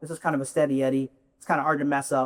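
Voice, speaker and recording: This man speaks at a very fast pace. The sound is dry and close, with no echo. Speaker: self storage industry executive. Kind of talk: conference presentation.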